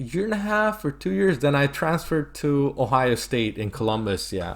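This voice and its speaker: Fairly high-pitched with a bright, sharp tone, a man in a strong American accent speaks at a fairly slow pace with very wide pitch swings. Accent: strong American twang. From Turkey. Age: 20s. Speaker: medical student and bodybuilder. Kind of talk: casual interview chat. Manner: halting, many fillers.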